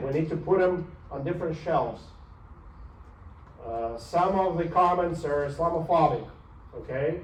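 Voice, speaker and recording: A man talks with a high pitch and ordinary pitch variation, in a non-native accent. Audible room echo surrounds his voice. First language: not English. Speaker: university professor. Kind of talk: lecture. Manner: animated.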